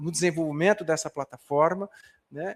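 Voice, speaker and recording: The speech holds a moderate pace with fairly even intonation. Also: man. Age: 60s. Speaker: professor. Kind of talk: lecture. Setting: conference hall with audience, livestreamed. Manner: halting, many fillers and repetitions.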